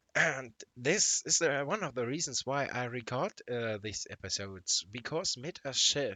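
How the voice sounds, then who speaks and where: At a fairly slow pace with hardly any pauses, a man with a non-native accent speaks at a medium pitch with lively intonation. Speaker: gaming YouTuber. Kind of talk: gameplay commentary. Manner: halting, many fillers.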